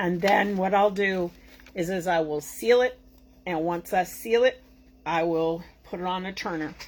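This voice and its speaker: Over noticeable background noise, a woman with an American accent talks at a fairly slow pace, her pitch fairly low and its variation ordinary. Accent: Boston accent, somewhat reduced. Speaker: tumbler crafter and tutorial host. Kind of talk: live craft tutorial. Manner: animated; casual, chatty.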